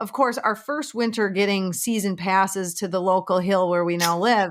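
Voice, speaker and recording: A woman talks with a Minnesota accent at medium pitch and a moderate pace, with ordinary pitch variation. The recording is very clean, with a silent background. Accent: Minnesotan accent, noticeable. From Minnesota, small town near Duluth. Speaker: realtor. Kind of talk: casual chat.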